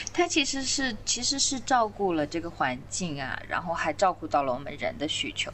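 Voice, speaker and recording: Very wide pitch swings in a woman's speech, with noticeable background noise. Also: medium pitch for a woman, moderate pace, hardly any pauses. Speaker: trail builder and permaculture designer. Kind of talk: podcast interview.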